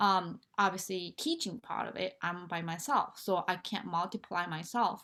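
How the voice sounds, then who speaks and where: Here a woman with a Japanese accent speaks at a medium pitch. Her pace is moderate, and the recording is very clean with a silent background. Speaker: nonprofit founder and motivational speaker. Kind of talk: interview. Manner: halting, with many fillers.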